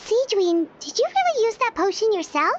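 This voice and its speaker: A woman puts on a squeaky character voice at an extremely high pitch. She keeps a moderate pace with lively intonation. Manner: surprised, questioning.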